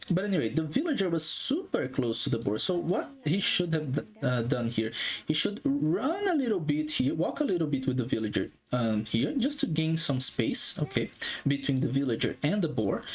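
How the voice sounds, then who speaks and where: A non-native accent comes through at a moderate pace. There is noticeable background noise. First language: not English. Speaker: game analyst YouTuber. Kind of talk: gameplay analysis commentary. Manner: halting, many fillers.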